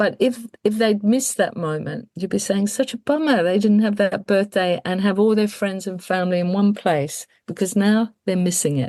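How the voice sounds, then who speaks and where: Delivered at a moderate pace with hardly any pauses, the voice has a dark, mellow tone and ordinary pitch variation. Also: woman, medium pitch for a woman. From England. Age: 60s. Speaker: death care educator and funeral celebrant. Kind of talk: interview conversation.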